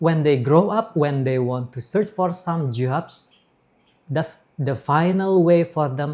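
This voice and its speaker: This somewhat breathy voice has lively intonation. The pace is fairly slow. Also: man. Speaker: English instructor. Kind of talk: interview. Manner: halting.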